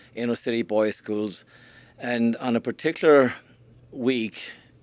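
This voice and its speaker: A man with an Irish accent and fairly even intonation. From Ireland. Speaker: learning scientist. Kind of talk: podcast interview. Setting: live stream.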